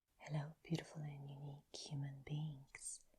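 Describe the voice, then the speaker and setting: The speaker is soft-spoken. The pace is very slow. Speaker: tarot reader. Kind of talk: ASMR tarot reading.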